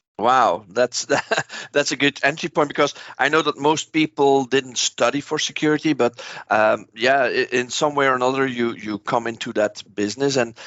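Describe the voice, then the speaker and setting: In a Dutch accent, the speaker keeps a fairly even intonation at a moderate pace. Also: man, medium pitch for a man. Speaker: podcast host. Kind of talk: interview.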